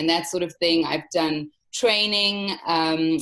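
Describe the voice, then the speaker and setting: A woman with a South African accent, fairly low in pitch, with fairly even intonation at a moderate pace. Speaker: travel company owner. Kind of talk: interview. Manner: hesitant, many fillers.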